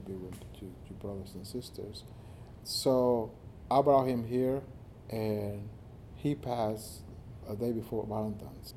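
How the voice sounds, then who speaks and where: A man speaks at a fairly slow pace with a medium pitch, ordinary pitch variation, and a dark, mellow tone. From Mexico. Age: 50s. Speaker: nonprofit executive director. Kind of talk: personal testimony interview.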